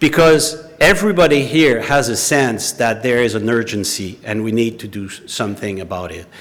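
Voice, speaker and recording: A man with a French accent, lively intonation and a moderate pace. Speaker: former intelligence investigator. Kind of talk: public talk.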